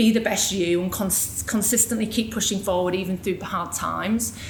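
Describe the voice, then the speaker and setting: A woman of medium pitch talks at a fairly quick pace, with audible room echo and noticeable background noise. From northern England, Yorkshire (near Hull). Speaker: business executive, guest speaker. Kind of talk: personal story talk at a panel event. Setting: live event with audience. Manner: casual, conversational.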